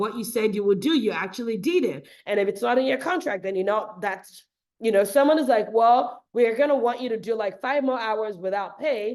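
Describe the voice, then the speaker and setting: A woman with a fairly high pitch speaks in an animated tone at a moderate pace, her intonation lively and her delivery with hardly any pauses. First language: not English. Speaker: podcast host, physician. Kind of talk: casual podcast monologue.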